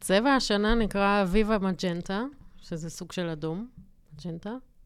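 Her pace fairly slow and full of long, frequent pauses, a woman speaks at a medium pitch with ordinary pitch variation and big swings in loudness. The recording is very clean, with a silent background. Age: 30s. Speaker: graphic designer podcast co-host. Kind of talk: casual chat. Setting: studio.

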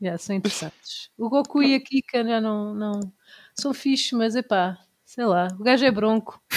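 A woman with a fairly high pitch speaks at a moderate pace in an unremarkable speaking voice. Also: ordinary pitch variation. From Portugal, Tomar area. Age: 30s. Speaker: instagrammer and cosplayer. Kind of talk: casual chat.

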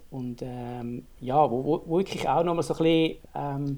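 The man's intonation is fairly even. His pitch runs fairly high. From Switzerland, not Bern. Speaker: startup co-founder, eyewear designer. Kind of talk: casual interview.

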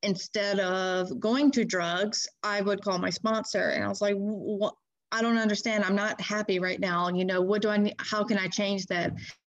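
An unremarkable speaking voice with an American accent talks at a moderate pace with fairly even intonation against a quiet background. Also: woman, medium pitch for a woman. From Louisiana, US South (Baton Rouge area). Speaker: recovering addict sharing her experience. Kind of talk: personal recovery testimony in an interview.

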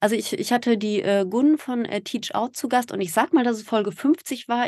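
A woman speaks at a fairly quick pace in a normal speaking voice, her fairly high pitch caught in a dry, close sound with no echo. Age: 40s. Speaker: podcaster and mother in a same-sex family. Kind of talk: interview.

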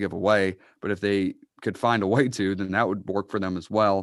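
A man with an American accent. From Massachusetts (Uxbridge). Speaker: sports podcast co-host. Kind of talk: casual chat. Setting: video call.

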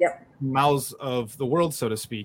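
This is a man with a normal speaking voice. His pitch variation is ordinary. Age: 30s. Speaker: collage podcast host. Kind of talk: casual interview chat.

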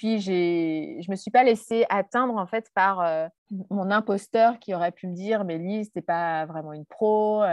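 The woman speaks at a very slow pace and a medium pitch with ordinary pitch variation. The sound is dry and close with no echo, and the background is quiet. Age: 40s. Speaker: entrepreneur and online coach. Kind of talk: interview. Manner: hesitant, many fillers.

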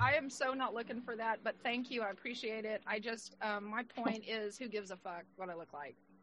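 Against noticeable background noise, the speaker moves at a fairly quick pace with hardly any pauses and ordinary pitch variation. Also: woman, fairly high pitch for a woman. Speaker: podcast co-host. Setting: video call.

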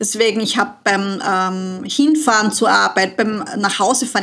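Fairly even intonation and a fairly slow pace mark this speaker, who uses a normal speaking voice. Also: woman. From Austria, southern Burgenland. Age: 40s. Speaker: money and business mentor. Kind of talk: casual interview.

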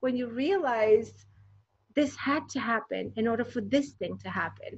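With vocal fry, a woman speaks using ordinary pitch variation. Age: 40s. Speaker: designer and inspirational speaker. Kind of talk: interview.

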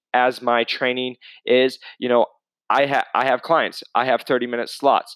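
With an unremarkable speaking voice at a medium pitch, a man talks at a moderate pace, and the sound is dry and close with no echo. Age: 20s. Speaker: fitness coach and podcast host. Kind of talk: solo casual podcast monologue. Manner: casual, conversational.

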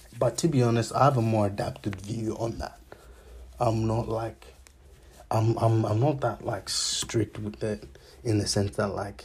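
At a medium pitch with vocal fry, a man speaks at a fairly slow pace. His pitch variation is ordinary, and he takes long, frequent pauses. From raised abroad from age two, born in Zambia. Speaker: podcast host. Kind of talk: casual monologue. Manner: halting, many fillers.

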